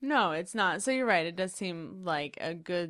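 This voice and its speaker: An unremarkable speaking voice from a woman, fairly low in pitch, with lively intonation. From Central Indiana, US (moved from Queens young). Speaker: podcast co-host. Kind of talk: casual chat.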